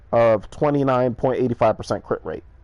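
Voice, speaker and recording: A man's medium-pitched voice with ordinary pitch variation at a fairly quick pace. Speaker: video game streamer. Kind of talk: gameplay commentary. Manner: fast; hesitant, many fillers. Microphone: first time recording with audio, may sound poor.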